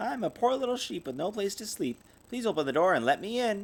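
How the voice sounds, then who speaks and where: A man performs a put-on character voice, pitched high for a man. He speaks at a fairly quick pace. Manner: deceptive, pleading.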